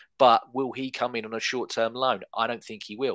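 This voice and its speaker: Over a very clean recording with a silent background, a man with an English accent talks at a fairly quick pace in a medium pitch with fairly even intonation. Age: 30s. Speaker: football podcast co-host. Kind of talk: casual chat.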